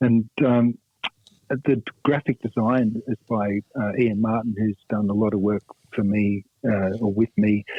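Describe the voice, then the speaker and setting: With an Australian accent, a man speaks at a fairly low pitch and a fairly slow pace, in a monotone, flat intonation broken by long, frequent pauses. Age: 60s. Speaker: rock guitarist. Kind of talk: radio interview. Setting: phone call. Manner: halting, many fillers.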